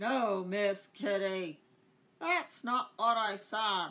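This put-on character voice has a fairly high pitch. It moves at a very slow pace. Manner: repeats words like a glitching machine.

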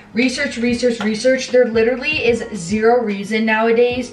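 Faint music plays behind a woman who speaks in a monotone, flat intonation. Audible room echo surrounds her voice. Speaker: fitness vlogger. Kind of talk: casual vlog chat. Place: kitchen. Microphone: camera far.

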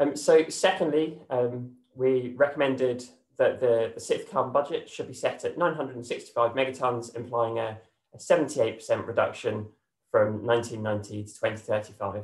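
A man's somewhat breathy, fairly slow speech with ordinary pitch variation and audible room echo. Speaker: presenter. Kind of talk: presentation. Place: home room. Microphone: webcam.

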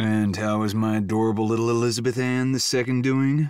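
Putting on a rumbling character voice, a man speaks in a confident tone at a medium pitch and a fairly quick pace, with very even loudness and fairly even intonation. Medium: read story. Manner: confident, charming.

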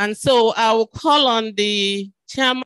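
The woman's voice sounds dry, with no echo, over a quiet background. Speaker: event moderator, university official; event moderator. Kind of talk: formal event moderation. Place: hall. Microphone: handheld.

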